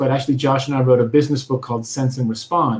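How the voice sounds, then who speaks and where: This is a man's voice, fairly high in pitch. It sounds somewhat breathy. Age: 40s. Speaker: author and UX consultant. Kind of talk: interview.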